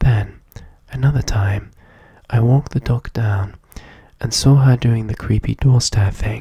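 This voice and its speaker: A soft-spoken whisper. The pace is moderate. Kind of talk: soft-spoken ASMR story reading. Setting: ASMR recording setup. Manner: soft-spoken, whispery.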